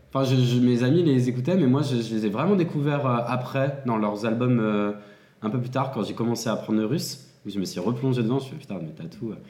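Amid noticeable background noise and audible room echo, a man speaks fairly quickly with ordinary pitch variation. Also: medium pitch for a man. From France, Seine-et-Marne. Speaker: adult content creator. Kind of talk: casual chat.

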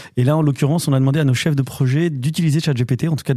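Speaking at a very fast pace, a man has a fairly high pitch, a dark, mellow tone, a somewhat breathy quality and fairly even intonation in a very clean recording with a silent background. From western France (Normandy, then Angers). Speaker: business club director, former radio co-host. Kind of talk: casual chat.

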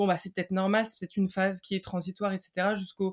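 A woman with a medium pitch speaks at a very fast pace on a very clean recording with a silent background. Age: 20s. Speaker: mother sharing separation experience. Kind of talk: testimony. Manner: hesitant, many fillers.

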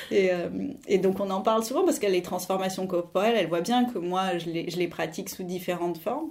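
Through noticeable background noise, a woman speaks at a fairly quick pace and medium pitch with ordinary pitch variation. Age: 40s. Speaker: art history teacher. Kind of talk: interview testimony.

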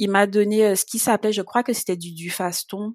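An unremarkable speaking voice at a moderate pace, with a dry, close sound with no echo on a very clean recording with a silent background. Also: woman. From Guadeloupe. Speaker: patient sharing illness experience. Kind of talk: testimony.

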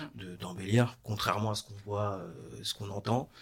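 Talking at a moderate pace, a man with an ordinary speaking voice sounds fairly low in pitch and keeps his intonation fairly even. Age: 30s. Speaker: renovation business owner. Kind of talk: interview. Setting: studio.

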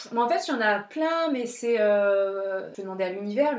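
Lively intonation carries over noticeable background noise and audible room echo. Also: woman. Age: 30s. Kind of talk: casual interview about spirituality.

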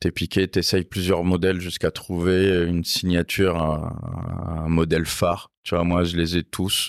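Very deep and low, a man's voice holds a monotone, flat intonation at a fairly slow pace with hardly any pauses, in a very clean recording with a silent background. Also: very even loudness, dry, close sound with no echo. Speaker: motorcycle workshop owner. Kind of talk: casual chat. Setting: motorcycle garage workshop.

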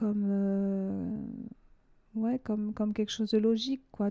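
A woman's dark, mellow voice at medium pitch, delivered at a fairly slow pace. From southwest France (Hautes-Pyrénées). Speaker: entrepreneur, beauty salon founder. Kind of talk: interview. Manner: halting.

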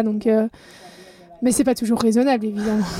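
Noticeable background noise is present. A woman speaks in a fairly high pitch with fairly even intonation. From Belgium. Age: 30s. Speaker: professional triathlete. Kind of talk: interview.

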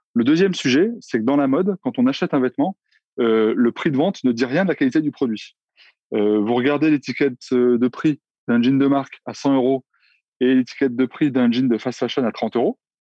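A man's medium-pitched voice, an unremarkable speaking voice, with ordinary pitch variation and a moderate pace. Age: 40s. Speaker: entrepreneur. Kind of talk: interview.

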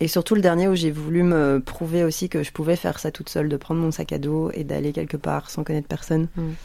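A fairly quick pace with hardly any pauses, a dark, mellow tone and monotone, flat intonation. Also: woman, very deep, low pitch for a woman. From Belgium, Brussels. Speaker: podcast host. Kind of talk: casual radio chat. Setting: radio studio.

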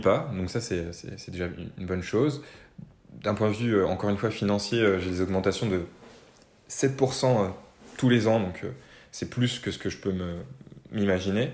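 A man speaks in a fairly low pitch at a fairly slow pace. Long, frequent pauses break up his speech, and audible room echo surrounds it. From Normandy, France. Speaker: freelance consultant and musician. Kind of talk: interview conversation.

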